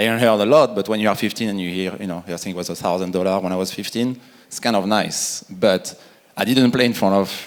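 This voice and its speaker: The speaker has a French accent. The pace is fairly quick. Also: man. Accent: French accent, still noticeable. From France. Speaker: retired pro soccer player. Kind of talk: conference panel discussion.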